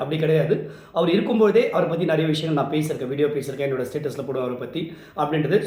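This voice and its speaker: Noticeable background noise surrounds a man whose voice sits at a fairly high pitch. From Chennai, Tamil Nadu. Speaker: event emcee. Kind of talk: tribute talk to camera. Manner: sombre.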